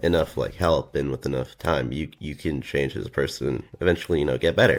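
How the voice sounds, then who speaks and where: This man's voice has vocal fry. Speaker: drama commentary YouTuber. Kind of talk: video outro monologue.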